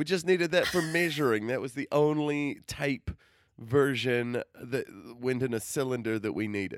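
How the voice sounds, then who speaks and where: At a moderate pace and medium pitch, a man with an American accent uses an unremarkable speaking voice with ordinary pitch variation, on a very clean recording with a silent background. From outside the US. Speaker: podcast co-host. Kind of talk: casual chat.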